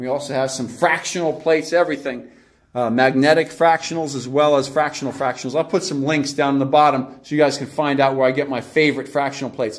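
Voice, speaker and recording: The speech moves at a fairly quick pace with fairly even intonation against a quiet background. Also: man. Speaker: fitness trainer. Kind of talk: casual vlog tour. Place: gym. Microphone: phone near.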